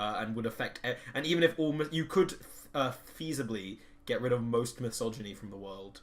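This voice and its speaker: A man's medium-pitched voice at a fairly quick pace, with lively intonation and big swings in loudness. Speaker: podcast co-host. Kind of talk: casual chat. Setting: shared microphone. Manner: animated.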